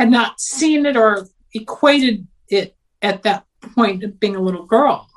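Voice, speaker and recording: A woman talks at a very slow pace. Her voice is fairly high in pitch. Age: 60s. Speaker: psychic and former radio host. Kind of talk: interview about personal experiences. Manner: energetic.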